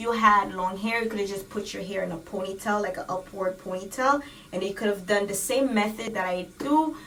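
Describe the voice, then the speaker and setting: A woman's medium-pitched voice with ordinary pitch variation, noticeable background noise and audible room echo. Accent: Haitian. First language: Haitian Creole. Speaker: beauty vlogger. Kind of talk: tutorial. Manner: casual, code-switching.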